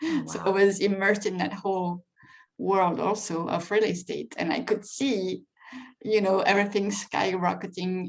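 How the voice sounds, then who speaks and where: A woman with a French accent, at a moderate pace and with ordinary pitch variation. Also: medium pitch for a woman. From France. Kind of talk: interview answer.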